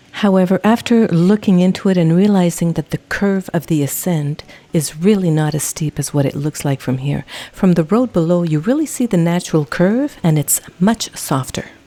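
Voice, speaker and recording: In an ordinary speaking voice, a woman speaks at a fairly low pitch and a moderate pace with ordinary pitch variation, in a dry, close sound with no echo. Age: 60s. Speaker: travel vlogger and hiker. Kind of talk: scripted narration.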